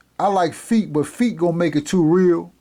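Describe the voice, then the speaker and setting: A man's dark, mellow voice at a fairly slow pace, with ordinary pitch variation. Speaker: math tutor. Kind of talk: lecture. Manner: halting.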